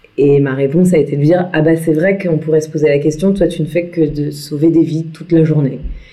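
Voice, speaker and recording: A woman's very deep, low voice, monotone and flat, at a fairly quick pace with hardly any pauses and audible room echo. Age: 30s. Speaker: entrepreneur and motorcycle traveller. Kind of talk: interview. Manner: hesitant, many fillers.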